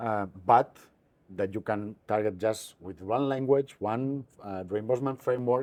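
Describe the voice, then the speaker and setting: Loudness swings widely as a man with a European accent speaks at a fairly slow pace. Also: medium pitch for a man, ordinary pitch variation. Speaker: digital health startup founder. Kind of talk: interview. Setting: conference. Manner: halting, many fillers.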